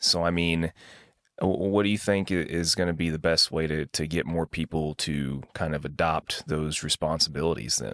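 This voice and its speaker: In an American accent, a man speaks at a moderate pace with a very deep, low pitch and fairly even intonation. The sound is dry and close with no echo, the recording very clean and the background silent. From US Midwest. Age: 30s. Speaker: podcast host. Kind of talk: interview.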